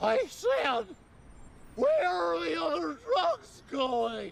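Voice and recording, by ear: Using a put-on character voice, a man speaks at an extremely high pitch. He goes very slowly over clear background noise.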